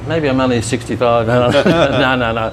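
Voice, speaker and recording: Speaking at medium pitch, a man with an Australian accent talks over noticeable background noise. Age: 70s. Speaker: retired gym teacher. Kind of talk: casual interview. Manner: halting.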